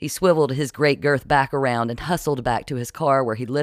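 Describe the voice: The recording consists of plain reading aloud.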